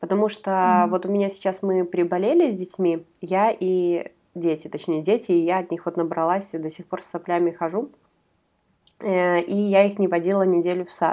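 Speaking at a moderate pace, a woman has a medium-pitched voice with a dark, mellow tone. Her intonation stays fairly even. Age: 30s. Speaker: podcast co-host. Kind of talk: casual chat.

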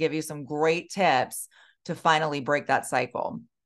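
This is a woman with a fairly low pitch and an ordinary speaking voice. She talks at a moderate pace. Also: quiet background. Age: 40s. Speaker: weight loss specialist and podcast host. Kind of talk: solo podcast monologue. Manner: casual, conversational.

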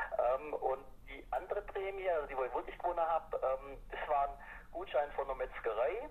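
Noticeable background noise sits under the speech. The man talks at a moderate pace. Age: 40s. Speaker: amateur cycling racer. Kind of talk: casual interview. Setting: phone call.

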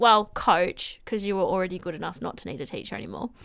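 A woman talks with an Australian accent. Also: very clean recording, silent background. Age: 20s. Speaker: swim coach and teaching student. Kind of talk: casual chat.

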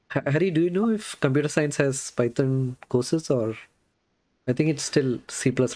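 At a moderate pace, a man speaks in a dark, mellow tone with very even loudness. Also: fairly high pitch for a man, ordinary pitch variation. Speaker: podcast host, software engineer. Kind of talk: casual interview. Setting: video call livestream.

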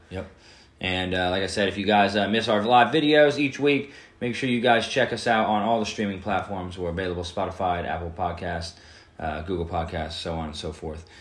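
A man talks at a fairly quick pace with a very deep, low pitch and lively intonation. His loudness swings widely, and room echo is audible. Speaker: podcast host. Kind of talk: casual podcast chat.

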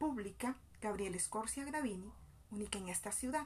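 Medium pitch from a woman, ordinary pitch variation, and a moderate pace. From Colombian Caribbean coast, Bolívar. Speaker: education student and community mother. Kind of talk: scripted narration. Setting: outdoors in a public plaza.

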